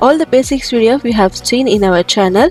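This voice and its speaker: Against music in the background, a woman speaks at a moderate pace and fairly high pitch with ordinary pitch variation, the sound dry and close with no echo. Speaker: crochet instructor. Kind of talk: tutorial.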